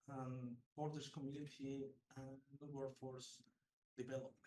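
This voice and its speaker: A man with a Spanish accent. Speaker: psychology professor. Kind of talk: conference talk. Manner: halting.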